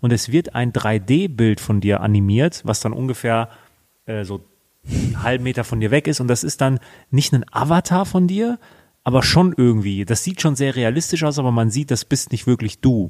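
A man with an unremarkable speaking voice talks at a moderate pace and medium pitch with lively intonation, in a dry, close sound with no echo. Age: 20s. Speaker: finance podcast co-host. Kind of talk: casual chat.

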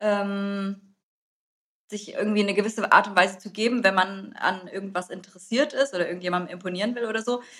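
A woman speaks at a fairly quick pace. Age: 30s. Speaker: podcast host. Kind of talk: casual chat.

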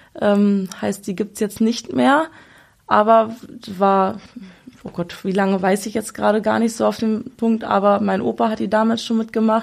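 A woman speaks at a medium pitch with a normal speaking voice. Her pitch varies in an ordinary way, and her pace is moderate. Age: 20s. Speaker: fairground showwoman. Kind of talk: casual interview.

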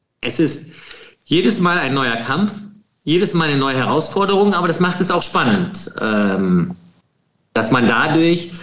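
Fairly slow and high-pitched, a man speaks with audible room echo. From Lower Rhine / Krefeld, western Germany. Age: 40s. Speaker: film producer. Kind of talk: interview.

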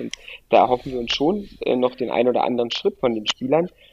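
A man talks at a fairly quick pace and medium pitch in a normal speaking voice. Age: 30s. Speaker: football coach. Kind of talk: interview.

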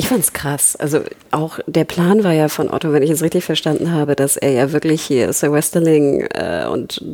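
Against noticeable background noise, a woman with a very deep, low pitch speaks at a moderate pace with ordinary pitch variation. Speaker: podcast co-host. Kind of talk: casual chat.

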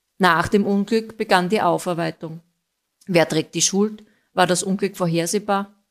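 A woman uses a normal speaking voice at a medium pitch, fairly slow, with fairly even intonation and very even loudness, on a very clean recording with a silent background. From Austria, Styrian mining town. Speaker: listener contributor. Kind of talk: recorded narration of a case.

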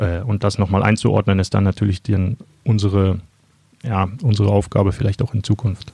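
A man's fairly low, dark and mellow, somewhat breathy voice at a moderate pace, with fairly even intonation, very even loudness and a dry, close sound with no echo. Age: 30s. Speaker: sports journalist. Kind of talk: interview.

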